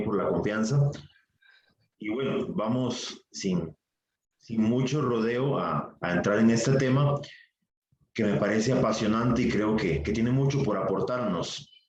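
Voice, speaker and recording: In a room with audible echo, a man speaks fairly slowly at medium pitch, his pitch varying in an ordinary way. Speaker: priest and vocation formator. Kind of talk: lecture. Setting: virtual session.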